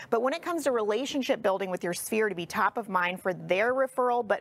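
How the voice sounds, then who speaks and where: A woman's fairly high voice, a normal speaking voice, with lively intonation and a fairly quick pace. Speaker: real estate coach and agency CEO. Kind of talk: casual interview chat.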